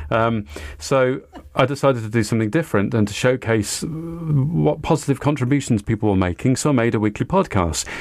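This man talks at a fairly quick pace in a Welsh accent, his pitch sitting in the medium range. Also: lively intonation. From Wales, Cardiff. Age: 50s. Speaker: community radio founder. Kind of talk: interview.

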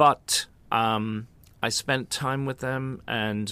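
In a Dublin accent, a man speaks at a very slow pace with a bright, sharp tone. His pitch varies in an ordinary way, and the recording is very clean with a silent background. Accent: Irish (Dublin). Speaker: choreographer and opera singer. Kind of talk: casual interview. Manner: hesitant, many fillers.

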